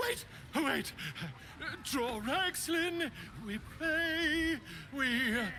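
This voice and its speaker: In a put-on, high-pitched character voice, the speaker goes at a very slow pace with long, frequent pauses over clear background noise. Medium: video game. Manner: gruff, blunt, ungrammatical.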